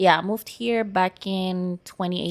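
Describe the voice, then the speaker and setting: On a very clean recording with a silent background, a woman speaks at medium pitch with a Venezuelan accent. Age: 20s. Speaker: podcast guest. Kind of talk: casual interview.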